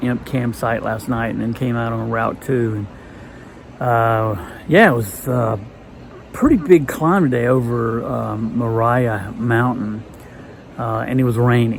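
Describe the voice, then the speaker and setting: Against noticeable background noise, a man talks at a medium pitch and a fairly slow pace with fairly even intonation. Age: 60s. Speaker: long-distance hiker vlogger. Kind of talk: casual video diary. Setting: indoors at a hostel. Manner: halting, many fillers.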